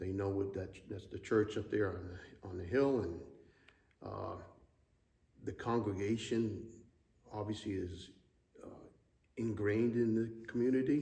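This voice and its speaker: A somewhat breathy, dark, mellow tone with fairly even intonation, a fairly slow pace and long, frequent pauses, in audible room echo. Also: man, fairly low pitch for a man. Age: 60s. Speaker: church member, Navy retiree. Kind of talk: interview. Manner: hesitant, many fillers.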